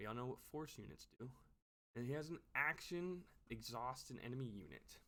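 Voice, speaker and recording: Animated and bright with a sharp tone, a man of medium pitch talks at a moderate pace with lively intonation. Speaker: card game YouTuber. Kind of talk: casual card review commentary.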